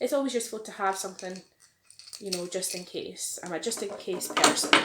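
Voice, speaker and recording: Speaking at a fairly quick pace in a Scottish accent, a woman uses a medium pitch with ordinary pitch variation. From Glasgow, Scotland. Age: 30s. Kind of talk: casual talk to camera.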